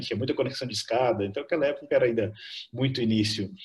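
A man speaks in a somewhat breathy voice. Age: 50s. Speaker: tech company co-founder. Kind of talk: interview.

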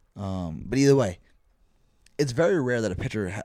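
A man speaks at a fairly quick pace with a dark, mellow tone. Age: 20s. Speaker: baseball podcast host. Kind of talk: casual chat.

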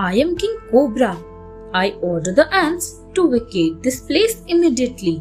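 A female-sounding, high-pitched, put-on character voice with hissing and very wide pitch swings moves at a moderate pace over clear music in the background. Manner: hissing, commanding.

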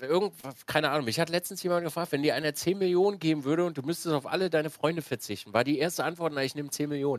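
Very fast pace from a man with a fairly high pitch and ordinary pitch variation, in a dry, close sound with no echo on a very clean recording with a silent background. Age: 30s. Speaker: streamer and podcast host. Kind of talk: casual chat.

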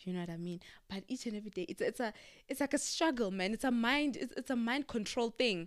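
The speech moves at a very fast pace. The tone is animated and the intonation lively. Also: woman, fairly high pitch for a woman. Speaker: podcast co-host. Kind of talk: casual chat.

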